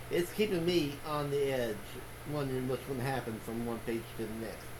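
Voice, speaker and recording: A man's medium-pitched voice, with ordinary pitch variation and a moderate pace, comes through audible room echo and noticeable background noise. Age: 60s. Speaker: booktuber, book reviewer. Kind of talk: casual vlog monologue. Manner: halting, many fillers and restarts.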